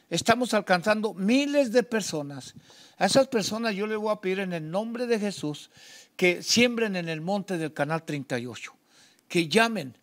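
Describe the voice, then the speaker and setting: At a fairly slow pace, a man with a high pitch speaks with lively intonation over a quiet background. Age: 70s. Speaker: pastor and TV host. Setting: TV studio. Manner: halting. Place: studio.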